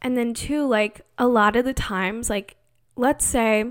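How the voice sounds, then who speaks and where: A woman talks in a plain, everyday voice, pitched fairly high. Her intonation stays fairly even. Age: 20s. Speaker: podcast host. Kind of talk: casual monologue. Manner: frequent laughter.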